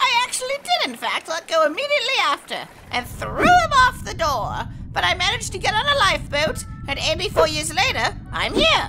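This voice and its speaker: Very wide pitch swings run at a moderate pace against loud background noise. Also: woman, extremely high pitch for a woman. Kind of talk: comic parody narration.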